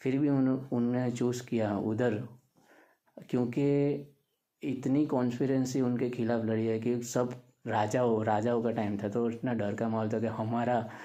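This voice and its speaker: In a room with audible echo, a man with a dark, mellow tone and medium pitch talks in a flat monotone at very even loudness. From Gujarat, India. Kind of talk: casual talk to camera. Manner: halting, many fillers.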